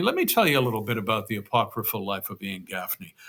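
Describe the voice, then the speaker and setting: The man's tone is bright and sharp. He speaks at a medium pitch. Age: 60s. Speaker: novelist and former radio host. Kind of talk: casual vlog monologue. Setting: home room. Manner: halting, many fillers.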